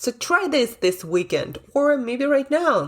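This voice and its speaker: Very wide pitch swings mark this woman's speech. She talks at a very slow pace. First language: not English. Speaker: podcast host and brain coach. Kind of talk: motivational podcast monologue. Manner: casual, conversational.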